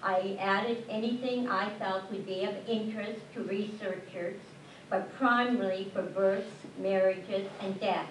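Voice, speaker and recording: A woman talks fairly slowly and with fairly even intonation, noticeable background noise and audible room echo around her. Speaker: local historian and genealogy indexer. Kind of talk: prepared speech. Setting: public ceremony with mic. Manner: loud.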